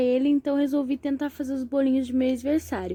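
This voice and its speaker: A woman with a dark, mellow tone and high pitch speaks at a fairly quick pace. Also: very clean recording, silent background. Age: 20s. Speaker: home baker and mother. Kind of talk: casual talk to camera.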